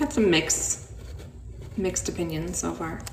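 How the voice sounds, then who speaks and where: Noticeable background noise and audible room echo surround a woman who talks fairly slowly. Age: 40s. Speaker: livestream host. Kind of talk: casual chat.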